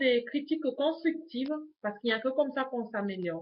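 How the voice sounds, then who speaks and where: Her pitch is high for a woman, and it shows ordinary variation. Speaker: YouTuber, lifestyle vlogger. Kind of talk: casual vlog introduction to webcam. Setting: home webcam recording. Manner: hesitant, many fillers (euh).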